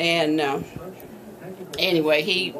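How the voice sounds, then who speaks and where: Over noticeable background noise, a woman with a Texan accent speaks at a fairly slow pace. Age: 80s+. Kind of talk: interview answer.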